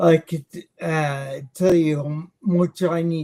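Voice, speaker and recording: A man with an American accent speaks at a very slow pace, his fairly high pitch showing ordinary variation. His tone is dark and mellow, and somewhat breathy. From US, Long Island, New York. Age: 60s. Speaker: missionary. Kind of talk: interview.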